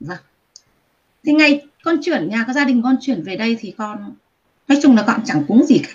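Speaking at a moderate pace with long, frequent pauses, a woman's high voice swings very widely in pitch and jumps a lot in loudness. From Vietnam. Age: 40s. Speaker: guest telling personal ghost experience. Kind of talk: testimony.

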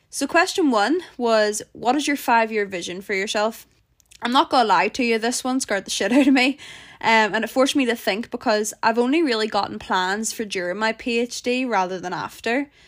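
A woman with a Northern Irish accent talks fairly quickly in an animated tone and a fairly high pitch with ordinary pitch variation, on a very clean recording with a silent background. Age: 20s. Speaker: podcast host, PhD student. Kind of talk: casual solo podcast chat. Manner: animated, laughing often.

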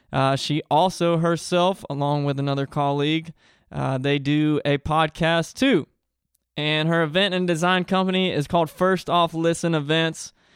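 Keeping a very even loudness, a man has a plain, everyday voice with fairly high pitch, fairly even intonation and a moderate pace. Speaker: podcast host and musician. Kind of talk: casual interview chat. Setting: video recording.

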